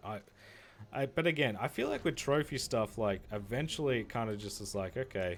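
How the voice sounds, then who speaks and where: With music in the background, a man with an Australian accent speaks at a moderate pace. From Australia, Victoria. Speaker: gaming streamer. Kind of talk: casual live-stream chat while gaming. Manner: casual, halting with filler words.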